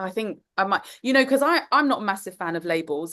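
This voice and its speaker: A woman with a London accent speaks at a fairly quick pace in a medium pitch, her intonation lively against a quiet background. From London, England. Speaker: course teacher, empath coach. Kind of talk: online group class.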